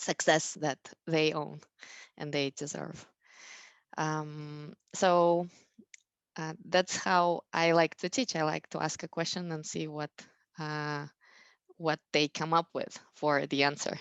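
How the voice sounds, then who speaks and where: With a non-native accent, a woman speaks at a very slow pace in a very deep, low pitch, using fairly even intonation and long, frequent pauses, recorded with a dry, close sound with no echo against a quiet background. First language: not English. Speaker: math educator, school founder. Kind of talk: parent education talk. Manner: halting, many fillers.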